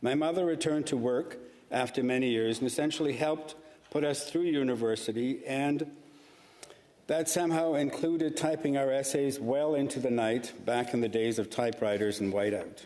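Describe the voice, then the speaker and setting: Against noticeable background noise, a man with a fairly high voice speaks at a very even loudness. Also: ordinary pitch variation, moderate pace. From Karachi, Pakistan, then Toronto from teens. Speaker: senator. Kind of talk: formal speech in legislative chamber. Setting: Senate chamber. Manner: formal.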